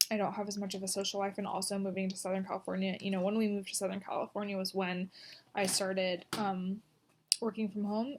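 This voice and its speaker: A woman mumbles at a very fast pace with a medium pitch and monotone, flat intonation. Noticeable background noise runs underneath. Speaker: vlogger. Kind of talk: video diary. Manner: halting, many pauses; mumbling. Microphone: poor recording quality.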